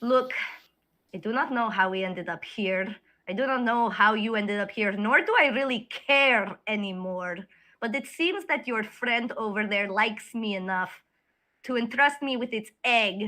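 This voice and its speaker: Putting on a character voice, a woman sounds strained, speaking at a moderate pace in a fairly high pitch with ordinary pitch variation, on a very clean recording with a silent background. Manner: intimidating, angry, restrained.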